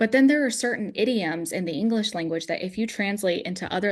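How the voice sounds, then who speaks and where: A woman's speech runs at a fairly quick pace, its pitch varying in an ordinary way. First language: Russian. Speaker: founder of a card game business, former art director. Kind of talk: podcast conversation.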